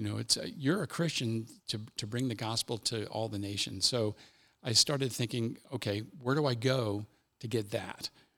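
A man with an American accent and a normal speaking voice, medium in pitch, at a moderate pace with fairly even intonation, on a very clean recording with a silent background. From US Midwest, Cincinnati, Ohio. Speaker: army chaplain. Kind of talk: casual interview, personal testimony.

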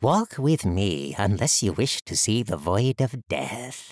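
A man in a put-on character voice, fairly low in pitch with big pitch swings, at a slow pace, the sound dry and close with no echo. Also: very clean recording, silent background.

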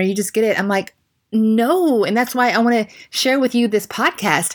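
With an American accent and an animated tone, a woman speaks at a fairly high pitch and fairly quick pace with ordinary pitch variation, in a very clean recording with a silent background. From United States. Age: 40s. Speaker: podcast host and yoga instructor. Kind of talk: solo podcast monologue.

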